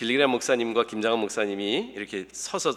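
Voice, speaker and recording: Using a normal speaking voice, a man talks at a fairly quick pace in a medium pitch. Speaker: pastor. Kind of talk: sermon. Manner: casual, humorous conversational delivery.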